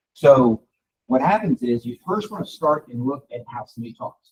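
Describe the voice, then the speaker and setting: A man talks with very wide pitch swings and a somewhat breathy voice. The sound is dry and close, with no echo. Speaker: real estate coach and trainer. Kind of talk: live training session. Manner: fast.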